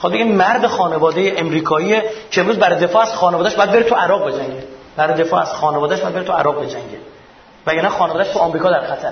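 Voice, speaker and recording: Over noticeable background noise and audible room echo, a man speaks very fast in a high voice with ordinary pitch variation. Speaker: lecturer. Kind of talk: lecture. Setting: stage with audience.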